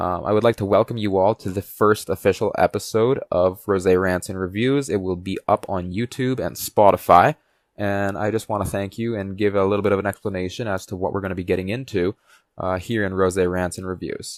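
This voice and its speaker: On a very clean recording with a silent background and a dry, close sound with no echo, a man talks fairly quickly with fairly even intonation. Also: fairly low pitch for a man. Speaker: podcast host. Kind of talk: podcast monologue. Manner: hesitant pauses.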